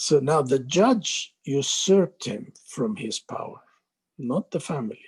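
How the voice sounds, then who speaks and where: Somewhat breathy and fairly high-pitched, a man talks fairly slowly with very wide pitch swings and big swings in loudness. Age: 70s. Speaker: doctor, former medical board chair. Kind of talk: interview answer.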